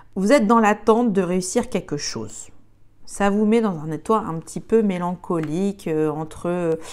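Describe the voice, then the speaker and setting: Her pitch varies in an ordinary way as the woman speaks at a fairly slow pace. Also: medium pitch for a woman. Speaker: tarot card reader. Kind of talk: tarot reading. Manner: halting, many fillers.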